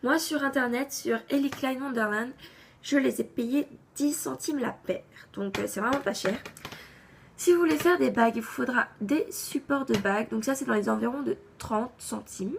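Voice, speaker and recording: Lively intonation at a moderate pace, with long, frequent pauses over noticeable background noise. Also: woman, high pitch for a woman. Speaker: craft YouTuber. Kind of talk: tutorial.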